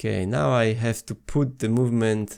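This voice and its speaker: A man speaks fairly slowly with a non-native accent and a medium pitch. The recording is very clean, with a silent background. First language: not English. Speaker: watch repair youtuber. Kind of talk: tutorial. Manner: halting, many fillers.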